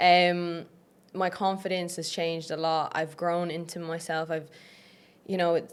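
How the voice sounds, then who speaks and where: A woman with an Irish accent talks at a fairly slow pace, leaving long, frequent pauses. Her pitch is fairly low for a woman, and her intonation is flat and monotone. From Ireland. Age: 20s. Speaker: online fitness coach. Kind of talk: podcast interview. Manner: casual, uses many fillers.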